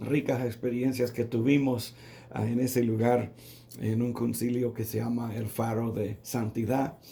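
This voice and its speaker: At a very slow pace, a man speaks at a medium pitch in a somewhat breathy voice with a dark, mellow tone. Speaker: pastor. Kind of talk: sermon. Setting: radio broadcast. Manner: halting, with fillers.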